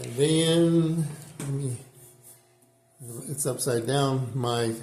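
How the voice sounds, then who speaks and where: Fairly even intonation from a man with a fairly high pitch, with audible room echo and noticeable background noise. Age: 60s. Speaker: amateur drummer. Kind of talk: casual chat. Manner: halting.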